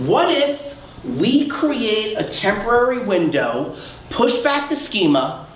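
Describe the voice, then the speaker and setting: A loud man with a high voice and lively intonation is heard with audible room echo and noticeable background noise. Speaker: research psychologist, keynote speaker. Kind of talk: conference keynote talk. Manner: animated.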